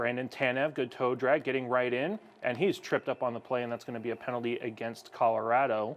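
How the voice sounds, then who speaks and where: A man's medium-pitched, ordinary speaking voice, fairly even in intonation, at a fairly quick pace. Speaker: hockey broadcaster. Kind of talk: live commentary; casual chat. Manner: fast.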